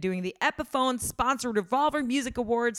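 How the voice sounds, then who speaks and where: On a very clean recording with a silent background, a woman speaks fairly quickly in a normal speaking voice with ordinary pitch variation. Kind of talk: casual interview. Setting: tour bus.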